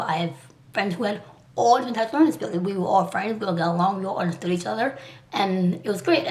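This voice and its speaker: A woman of medium pitch talks at a very fast pace, with audible room echo and noticeable background noise. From Liberia, came to US at age two. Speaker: artist and vlogger. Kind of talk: personal vlog. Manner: halting.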